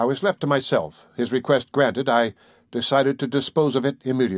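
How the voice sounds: A natural reading voice delivers the lines with fairly even intonation.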